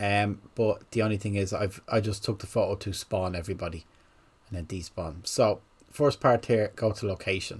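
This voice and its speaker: A man with a fairly low voice speaks with a slight Irish accent. His pace is fairly slow, with ordinary pitch variation. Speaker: gaming content creator. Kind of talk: tutorial. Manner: halting.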